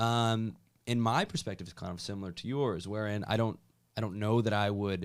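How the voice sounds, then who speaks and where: An ordinary speaking voice comes from a man talking at a fairly low pitch and a fairly quick pace. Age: 20s. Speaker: podcast interviewer. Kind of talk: casual interview chat.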